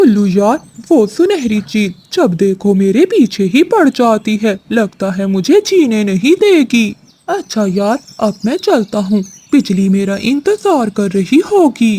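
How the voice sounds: A cartoonish character voice is used. It moves at a fairly slow pace. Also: man, high pitch for a man.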